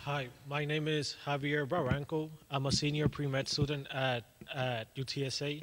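A man speaks at a moderate pace in a fairly high pitch with a fairly bright tone and little pitch movement.

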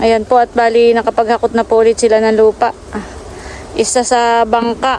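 Monotone, flat intonation at a moderate pace, very even loudness, and noticeable background noise. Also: woman, fairly high pitch for a woman. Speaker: vlogger. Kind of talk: vlog narration. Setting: outdoors.

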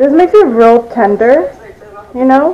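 Speaking at a fairly slow pace, a woman with a high pitch lets her voice swing very widely in pitch. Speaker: home cook vlogger. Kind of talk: casual vlog chat. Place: kitchen. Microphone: phone near.

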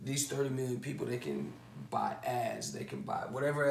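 A man is speaking. There is light background noise and audible room echo. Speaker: online business educator. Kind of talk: lecture. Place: home room. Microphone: camera far.

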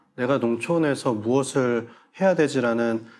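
A man speaks with ordinary pitch variation. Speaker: head of online farm-to-consumer platform; guest. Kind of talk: panel discussion. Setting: studio. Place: studio. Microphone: lapel.

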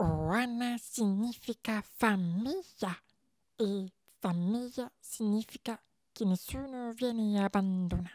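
Using a put-on character voice that sounds female, the speaker talks at a fairly high pitch and a fairly slow pace, with long, frequent pauses. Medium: dub.

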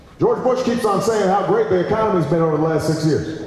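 Strong room echo surrounds a man's high-pitched voice, which moves with ordinary pitch variation over light background noise. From United States. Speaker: politician. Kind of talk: campaign speech. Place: hall. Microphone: pa.

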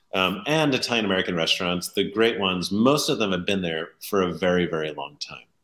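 A man with a very deep, low pitch talks at a moderate pace with lively intonation. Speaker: interview guest. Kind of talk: interview answer. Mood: enthusiastic, warm. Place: home room.

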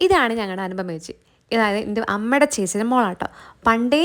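In a very clean recording with a silent background, a woman with an unremarkable speaking voice has fairly high pitch and lively intonation. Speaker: vlogger. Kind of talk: casual vlog narration.

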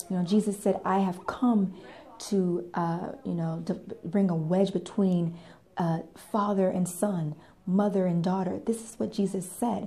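A woman speaks at a fairly slow pace. Her intonation is monotone and flat. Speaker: faith vlogger. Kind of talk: sermon-like vlog talk. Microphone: phone near.

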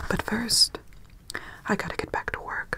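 A woman is speaking. She whispers. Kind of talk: ASMR role-play narration. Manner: soft, close-mic ASMR speaking. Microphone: studio mic.

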